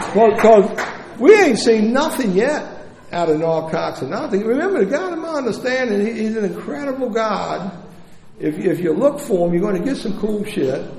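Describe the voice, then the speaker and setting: Amid audible room echo and noticeable background noise, a man speaks in an animated tone at a moderate pace, his high voice making very wide pitch swings. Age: 60s. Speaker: recovering addict sharing story at recovery meeting. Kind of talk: testimony.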